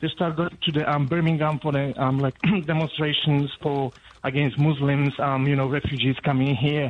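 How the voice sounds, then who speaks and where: Speaking in a Polish accent at a moderate pace, a man with a fairly high pitch keeps a monotone, flat intonation and very even loudness. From Poland. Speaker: radio caller. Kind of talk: radio phone-in call. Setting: phone call. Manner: halting, many fillers.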